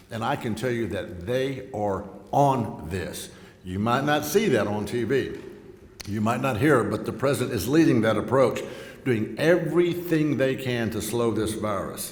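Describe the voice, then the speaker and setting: A man with a Texan accent speaks at a medium pitch with lively intonation. Noticeable background noise and audible room echo fill the recording. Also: moderate pace. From Texas Gulf Coast. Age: 60s. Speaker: congressman. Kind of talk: speech at a luncheon. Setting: luncheon event with live audience.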